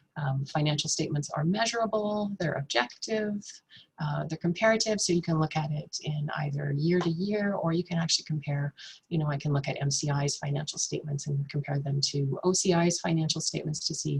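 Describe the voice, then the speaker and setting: A soft-spoken woman talks at a fairly quick pace. Her pitch is very deep and low. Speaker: nonprofit finance presenter. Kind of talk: webinar presentation. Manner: halting, many fillers.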